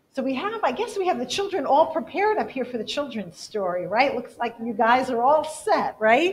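A woman at a high pitch with very wide pitch swings, a moderate pace and hardly any pauses, over light background noise. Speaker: church service leader. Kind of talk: church announcements and prayer. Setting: church. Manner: warm, casual. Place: church. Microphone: podium.

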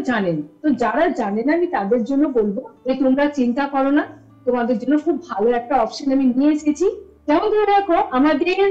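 A woman talks in a high voice while music plays faintly behind her. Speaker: guest. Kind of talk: interview answer. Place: classroom. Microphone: video call.

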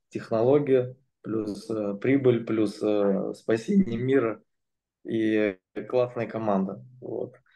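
In a dark, mellow tone, a man speaks at a very slow pace, leaving long, frequent pauses. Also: fairly even intonation, quiet background. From Moscow, Russia; Russia. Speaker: entrepreneur; presenter. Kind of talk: testimony; interview answer. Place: home room. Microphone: video call.

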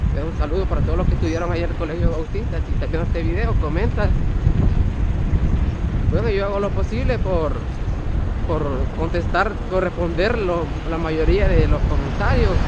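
Loud background noise, a dry sound with no echo, long, frequent pauses, and a moderate pace. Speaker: cycling vlogger. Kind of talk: casual vlog chat. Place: bicycle. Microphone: phone near.

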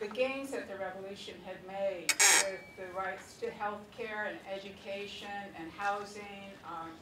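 At a very slow pace, a woman speaks with a medium pitch over noticeable background noise. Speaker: audience member. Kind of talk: audience question. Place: hall.

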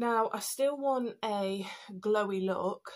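A woman with a slightly mellow tone. Her intonation stays fairly even.

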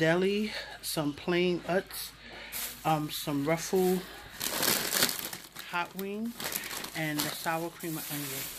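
Slow and low-pitched, a woman speaks with ordinary pitch variation and long, frequent pauses over faint background noise.

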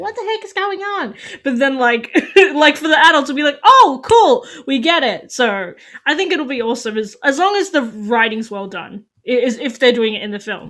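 A woman with a high pitch and fairly bright tone talks with lively intonation and few pauses. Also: moderate pace.

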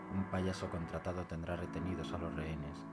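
With music in the background, a man speaks at a moderate pace. His voice is very deep and low. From Spain. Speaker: poet. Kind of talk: poetry reading.

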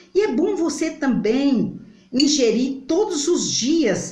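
A woman's high voice at a very slow pace with very wide pitch swings, audible room echo, and a quiet background. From Brazil. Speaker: home remedy vlogger. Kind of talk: tutorial. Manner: halting. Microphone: phone near.

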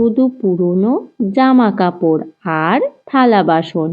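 A woman speaks at a slow pace with lively intonation.

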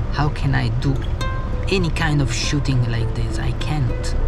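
Over background music, a man speaks at a very slow pace with ordinary pitch variation. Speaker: travel vlogger. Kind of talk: casual vlog chat. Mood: frustrated, wry. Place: car. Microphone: phone near.

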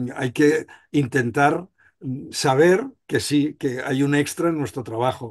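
Speaking very slowly, a man uses a fairly high pitch. The background is quiet. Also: ordinary pitch variation. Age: 60s. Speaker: surgeon, association president. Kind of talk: panel discussion. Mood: reflective, conversational. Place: home room. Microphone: video call.

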